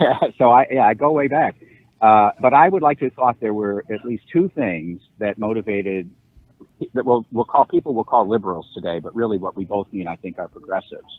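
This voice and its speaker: With an American accent, an ordinary speaking voice runs at a fairly quick pace, with lively intonation and big swings in loudness. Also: man, medium pitch for a man. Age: 60s. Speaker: law professor. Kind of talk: podcast interview.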